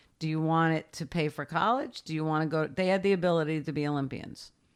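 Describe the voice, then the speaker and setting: On a very clean recording with a silent background, a woman with a very deep, low pitch talks at a fairly quick pace. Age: 60s. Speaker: lifeguard supervisor and former reality TV contestant. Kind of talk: interview.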